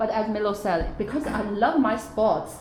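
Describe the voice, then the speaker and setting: At a fairly slow pace and medium pitch, a woman speaks with lively intonation amid audible room echo and noticeable background noise. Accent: Chinese. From China. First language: Chinese. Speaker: parent, former athlete. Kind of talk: workshop discussion. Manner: hesitant, with fillers.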